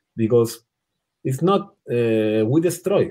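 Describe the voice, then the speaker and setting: In a very clean recording with a silent background, a man with a non-native accent speaks at a fairly slow pace and medium pitch, his tone dark and mellow. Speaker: water polo coach. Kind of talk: interview.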